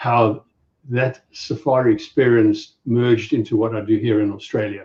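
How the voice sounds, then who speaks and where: At a moderate pace, a man with a South African accent speaks at a medium pitch in a monotone, flat intonation. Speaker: safari business owner. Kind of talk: casual chat.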